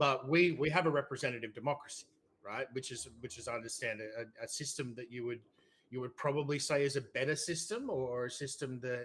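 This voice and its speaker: Speaking at a fairly quick pace in an Australian accent, a man at a medium pitch uses ordinary pitch variation. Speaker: debater. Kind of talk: debate.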